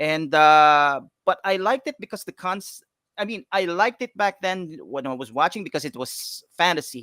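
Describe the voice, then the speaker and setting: This man has a high pitch, a bright, sharp tone and lively intonation at a moderate pace. The sound is dry and close with no echo, on a very clean recording with a silent background. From Philippines, Quezon City. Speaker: comic book creator. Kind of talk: interview. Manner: halting, many fillers and restarts.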